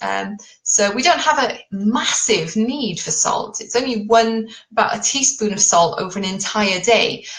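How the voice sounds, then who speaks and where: Speaking at a fairly slow pace, a woman with a British accent has a fairly high pitch over noticeable background noise. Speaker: keto diet coach. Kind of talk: live stream talk. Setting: live Facebook video. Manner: informal.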